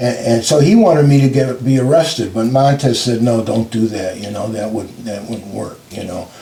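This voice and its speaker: At a moderate pace with hardly any pauses, a man talks in a medium pitch with ordinary pitch variation and big swings in loudness over noticeable background noise. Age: 80s. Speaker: civil rights attorney. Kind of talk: interview answer.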